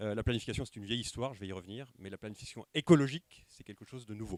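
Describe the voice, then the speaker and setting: A man's voice with ordinary pitch variation. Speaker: sociologist giving a conference talk. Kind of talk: lecture. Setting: conference room with live audience, microphone. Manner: fast at times; hesitant, many filler sounds.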